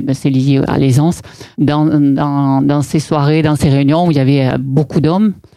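A woman speaks with a southern French accent at a fairly slow pace. Her pitch is very deep and low, and her loudness very even. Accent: southern French, Aveyron accent, kept. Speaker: property developer. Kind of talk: interview. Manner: hesitant, many fillers and repetitions.

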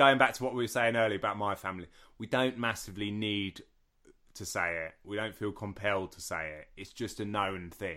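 In a very clean recording with a silent background, a man with a southern English accent speaks fairly quickly at a fairly low pitch, with ordinary pitch variation and big swings in loudness. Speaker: podcast co-host, martial arts instructor. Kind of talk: casual chat.

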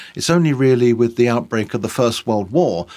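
A man speaks in a London accent. His pitch is medium. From East London. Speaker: tour guide. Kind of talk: casual chat.

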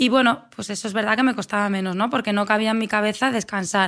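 Her pitch sits fairly high as a woman speaks at a very fast pace. The recording is very clean, the background silent. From Spain, Asturias (Avilés). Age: 30s. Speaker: athlete and running coach. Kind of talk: interview conversation.

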